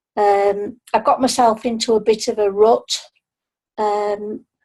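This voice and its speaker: In a Yorkshire accent, a woman talks at a fairly high pitch with fairly even intonation. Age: 60s. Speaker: retiree, new sales team member. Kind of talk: testimony.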